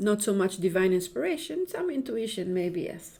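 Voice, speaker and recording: A woman speaks with an Israeli accent in a dark, mellow tone. Her pitch is medium, and there is audible room echo. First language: Hebrew. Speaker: Kabbalah and astrology teacher. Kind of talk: spiritual lecture. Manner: halting, many repetitions and fillers.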